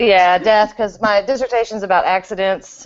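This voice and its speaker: A woman is speaking. She has a Texas accent. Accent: Texas drawl. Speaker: podcast co-host; doctoral candidate.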